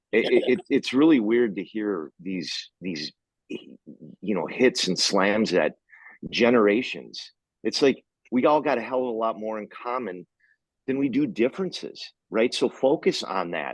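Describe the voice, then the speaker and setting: A man speaks at a fairly slow pace, with medium pitch, lively intonation and vocal fry. The sound is dry and close, with no echo. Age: 50s. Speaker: podcast host. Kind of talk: casual chat.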